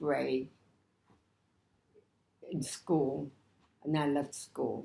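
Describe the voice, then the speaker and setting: Intonation stays fairly even. A woman delivers her words very slowly. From New York City, Lower East Side. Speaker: Depression-era survivor. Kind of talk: interview answer.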